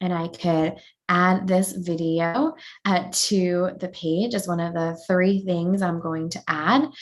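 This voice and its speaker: A woman with an American accent speaks at a very slow pace. Her pitch is fairly low, with fairly even intonation. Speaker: educational technology presenter. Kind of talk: webinar tutorial. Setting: online webinar.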